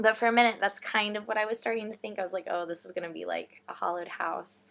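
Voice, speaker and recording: A woman speaks very fast with a Texan accent, her medium-pitched voice keeping a fairly even intonation. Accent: American (Texan). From Texas. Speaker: vlogger, theatre reviewer. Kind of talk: casual chat.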